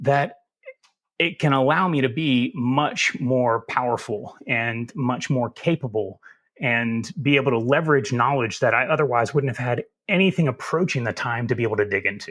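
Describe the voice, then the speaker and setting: On a very clean recording with a silent background, a man with a Southern US accent speaks at a medium pitch and moderate pace with ordinary pitch variation. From US South. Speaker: cybersecurity expert. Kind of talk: podcast interview.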